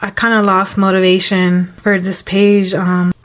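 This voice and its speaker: Her intonation is monotone and flat. The woman keeps a medium pitch and a moderate pace. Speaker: coloring hobby youtuber. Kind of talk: casual video chat about coloring pages. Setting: at home. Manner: halting with pauses and fillers.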